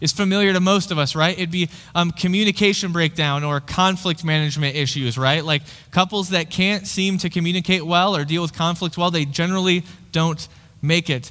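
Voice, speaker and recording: A man speaks at a fairly quick pace, with a quiet background behind him. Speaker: pastor. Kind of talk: sermon. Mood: light, friendly, humorous. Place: church. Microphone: headset.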